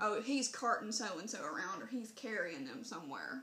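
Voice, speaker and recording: Talking at a fairly quick pace, a woman with a Southern US accent has a fairly high pitch and a bright, sharp tone. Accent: Southern US, country. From Southern Mississippi, US. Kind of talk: casual talk to camera.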